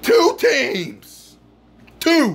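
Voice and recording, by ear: A man talks at a very slow pace with an extremely high pitch. His pitch swings very widely.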